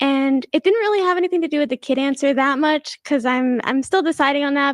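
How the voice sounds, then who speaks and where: Soft-spoken and high-pitched, a woman talks at a fairly quick pace with ordinary pitch variation, her voice dry and close with no echo over a quiet background. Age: 20s. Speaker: dating show contestant. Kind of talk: casual chat.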